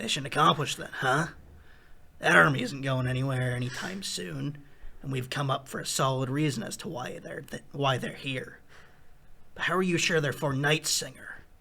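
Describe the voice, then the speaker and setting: Putting on a character voice, a man speaks in a raspy tone at a medium pitch, at a moderate pace with ordinary pitch variation. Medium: cartoon. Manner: casual and blunt.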